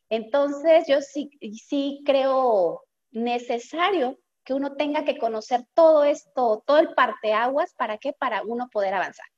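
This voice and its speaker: A high-pitched woman talks at a fairly slow pace with ordinary pitch variation, in a dry, close sound with no echo. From Mexico, Guadalajara, Jalisco. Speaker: accountant and entrepreneur. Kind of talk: interview conversation.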